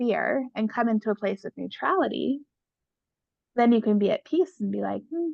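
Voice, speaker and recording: Her delivery has lively intonation. This woman talks at a moderate pace. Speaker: pain specialist and coach. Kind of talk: interview. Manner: loud and boisterous at times.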